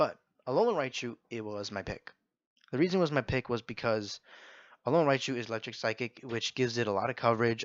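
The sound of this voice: A raspy, put-on character voice from a man at medium pitch, very fast, dry and close with no echo against a quiet background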